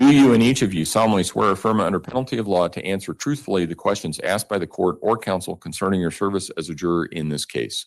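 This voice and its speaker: Against a quiet background, a man rattles on at a very fast pace with hardly any pauses, his fairly low voice carrying lively intonation. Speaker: judge. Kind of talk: jury instructions in court. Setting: courtroom. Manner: loud; formal.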